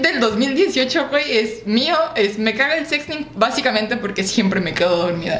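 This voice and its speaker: There is noticeable background noise and audible room echo. A woman in a Mexican accent speaks at a high pitch with very wide pitch swings. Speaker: podcast co-host. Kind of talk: casual chat.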